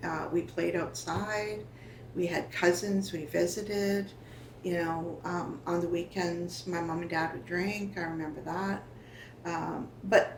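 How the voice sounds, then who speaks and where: There is audible room echo as a woman talks at a fairly slow pace with a fairly low pitch. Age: 60s. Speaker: First Nation elder sharing family history. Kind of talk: oral history interview. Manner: halting, with frequent fillers.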